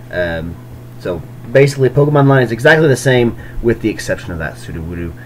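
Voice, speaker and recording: Over noticeable background noise, a man with a medium-pitched voice talks at a very fast pace, his pitch swinging very widely. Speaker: YouTuber covering card game tournaments. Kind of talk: casual commentary on deck lists. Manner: hesitant with many fillers.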